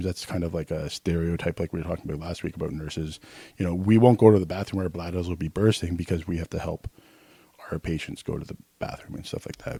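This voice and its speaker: Mumbling at a very fast pace, a man with a very deep, low pitch and a dark, mellow tone keeps his intonation fairly even, in a dry, close sound with no echo. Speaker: podcast co-host, nurse. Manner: mumbles.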